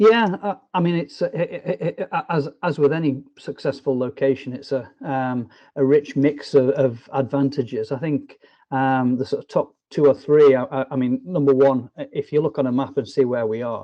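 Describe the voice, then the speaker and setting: Speaking at a moderate pace, a man has a northwest English accent. His pitch varies in an ordinary way. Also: fairly high pitch for a man. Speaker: business development director. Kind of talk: interview. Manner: hesitant, many fillers.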